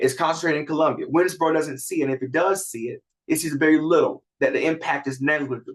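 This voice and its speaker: Speaking very fast with an American accent, this voice keeps a fairly even intonation. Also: man, fairly high pitch for a man. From US South, rural South Carolina. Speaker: community development practitioner, panelist. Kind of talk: panel discussion. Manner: many fillers and restarts.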